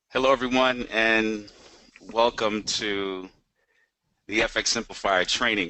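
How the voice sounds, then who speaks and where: A man's medium-pitched voice at a fairly slow pace, with fairly even intonation and long, frequent pauses. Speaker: finance trainer. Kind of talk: webinar training presentation. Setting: online webinar.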